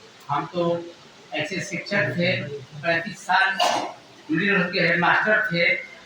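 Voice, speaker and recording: A man's raised, projected voice with ordinary pitch variation, audible room echo and noticeable background noise. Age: 80s+. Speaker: retired school headmaster. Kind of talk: speech at religious gathering. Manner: halting.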